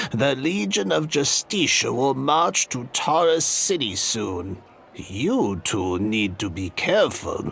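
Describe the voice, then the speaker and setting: A put-on character voice from a man, fairly slow and medium-pitched. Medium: video game. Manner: businesslike, cryptic.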